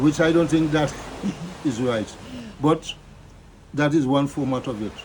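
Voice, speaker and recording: Noticeable background noise sits behind a man who talks at a fairly slow pace, his pitch fairly high and his intonation fairly even. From Carriacou, Grenada (Caribbean). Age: 80s+. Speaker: retired carnival performer. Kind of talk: interview. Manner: halting.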